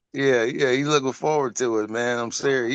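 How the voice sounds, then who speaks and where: Against a quiet background, a man with an American accent speaks at a medium pitch and a moderate pace. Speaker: hip hop MC. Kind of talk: casual interview chat. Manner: speaks like radio promo, crafty phrasing.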